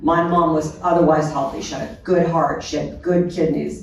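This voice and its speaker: Background noise is noticeable as a woman speaks. Room echo is audible too. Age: 60s. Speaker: end-of-life care panelist. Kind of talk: panel discussion.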